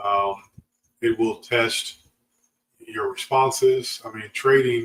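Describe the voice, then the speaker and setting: A man talks in a relaxed tone at a very slow pace. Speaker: options trading educator. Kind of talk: livestream tutorial. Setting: live stream with chat. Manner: relaxed, halting with fillers.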